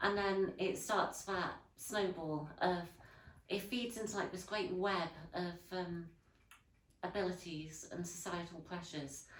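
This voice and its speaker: A woman with a Yorkshire accent speaks at a fairly slow pace, her medium pitch rising and falling in an ordinary way, with audible room echo around her. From northern England, Leeds. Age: 20s. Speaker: historical interpreter and artist. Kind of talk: interview. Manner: hesitant, many fillers.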